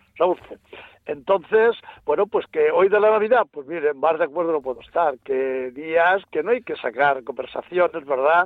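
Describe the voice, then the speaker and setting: A man speaks at a moderate pace, his voice pitched high with lively intonation. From Ciudad Real, Spain. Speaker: radio caller. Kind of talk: phone-in call. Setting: phone call.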